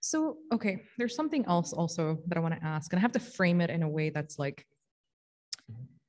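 Fairly low in pitch and somewhat breathy, a woman talks at a fairly quick pace with lively intonation. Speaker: religious teacher. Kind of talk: religious study discussion.

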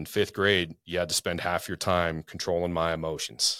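An American accent from a man at a very deep, low pitch, with a bright, sharp tone and moderate pace, on a very clean recording with a silent background. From Spokane, Washington. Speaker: police officer and realtor, youth sports coach. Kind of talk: casual chat.

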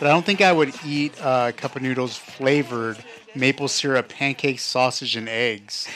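Noticeable background noise sits behind speech in an American accent. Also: man, medium pitch for a man, ordinary pitch variation, moderate pace. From Nevada. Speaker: podcast co-host. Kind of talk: casual chat. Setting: studio.

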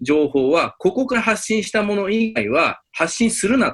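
A man's fairly slow speech with very wide pitch swings. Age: 40s. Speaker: Japan-Taiwan exchange advisor. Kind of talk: interview.

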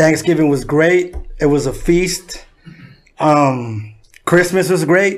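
Someone with an American accent speaks at a very slow pace with long, frequent pauses, ordinary pitch variation and very even loudness. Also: man. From San Diego, California. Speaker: rapper. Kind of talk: casual chat.

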